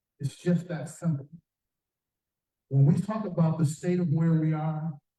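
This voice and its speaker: This man speaks with an American accent in a dark, mellow tone. His pitch is fairly high and his pace moderate. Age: 70s. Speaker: community leader, former corporate lobbyist. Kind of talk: public forum speech. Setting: community forum with audience. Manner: direct, earnest; halting with fillers and repetitions.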